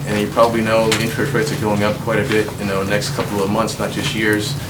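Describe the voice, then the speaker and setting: Amid noticeable background noise and audible room echo, a man with an American accent speaks at a medium pitch. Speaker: presenter at town board meeting. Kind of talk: public meeting presentation. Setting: town board meeting. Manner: fast.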